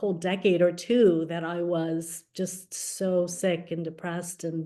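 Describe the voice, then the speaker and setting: A woman's medium-pitched voice at a fairly slow pace, with fairly even intonation. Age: 60s. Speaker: podcast host and veterinarian. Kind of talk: interview, being interviewed. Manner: halting, many fillers.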